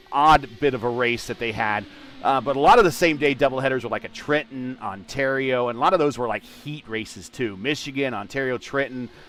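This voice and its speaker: Noticeable background noise sits under a man talking at a fairly quick pace with hardly any pauses, at medium pitch with ordinary pitch variation. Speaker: sim racing commentator. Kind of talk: live commentary. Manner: halting, many fillers.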